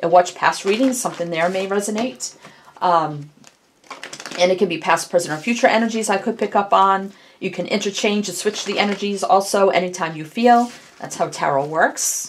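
A woman speaks with ordinary pitch variation. Light background noise sits behind her. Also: moderate pace. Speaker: tarot reader. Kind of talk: casual tarot reading intro.

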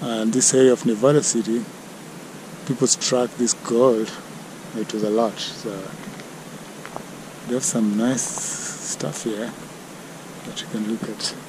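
A man speaks at a fairly slow pace with fairly even intonation and long, frequent pauses. The sound is dry with no echo, and there is noticeable background noise. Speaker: travel vlogger. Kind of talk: casual vlog chat. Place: open country. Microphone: phone near.

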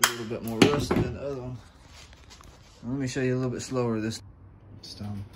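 A man at a medium pitch, with a fairly bright tone and faint background noise. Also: fairly even intonation, fairly quick pace.

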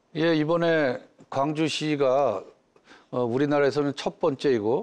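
A man is speaking. His pace is fairly slow. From Gwangju, Gyeonggi Province, South Korea; Gyeonggi Province, South Korea. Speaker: city mayor. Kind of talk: studio interview. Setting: studio. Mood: calm, polite, formal. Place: studio. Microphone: lapel.

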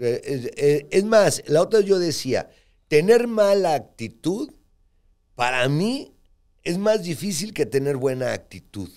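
Against a quiet background, a man talks at a very slow pace with very wide pitch swings. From Mexico. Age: 60s. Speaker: podcast co-host and businessman; podcast co-host. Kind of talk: casual chat. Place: studio. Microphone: studio mic.

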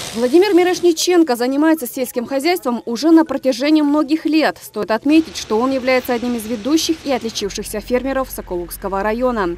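A high-pitched woman with lively intonation, a fairly quick pace and hardly any pauses, amid noticeable background noise. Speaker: TV news reporter. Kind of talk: scripted news voiceover. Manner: formal.

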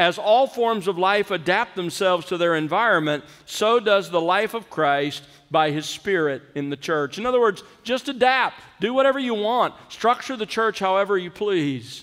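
A man talks at a moderate speed, and the background is quiet. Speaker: preacher. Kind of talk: sermon. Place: church. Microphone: podium.

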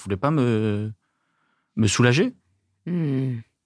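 A man with a medium-pitched, unremarkable speaking voice and lively intonation. The sound is dry and close with no echo, on a very clean recording with a silent background. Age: 20s. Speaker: stand-up comedian. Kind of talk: casual interview chat.

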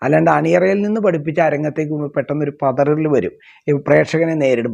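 A man with a fairly high pitch and ordinary pitch variation uses a plain, everyday voice. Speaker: traditional temple ritual artist. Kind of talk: interview monologue.

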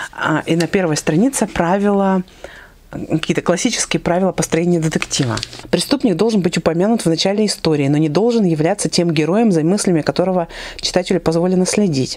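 Fairly quick speech from a woman with a fairly low pitch and ordinary pitch variation. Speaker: book blogger. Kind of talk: casual vlog chat. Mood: warm, lively. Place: home room. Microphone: lapel.

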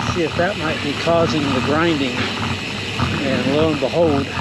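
A man speaks over loud background noise, his voice dry and free of any echo. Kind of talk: casual ride narration. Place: bicycle.

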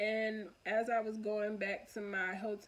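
A woman is speaking. She has an American accent. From US Northeast, Philadelphia. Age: 20s. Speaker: vlogger. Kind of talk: casual monologue vlog. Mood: open, reflective. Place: home room. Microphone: phone near.

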